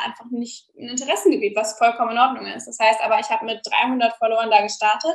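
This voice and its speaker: A woman with a normal speaking voice talks fairly quickly at a fairly high pitch. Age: 20s. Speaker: young online entrepreneur and former influencer. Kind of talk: podcast interview.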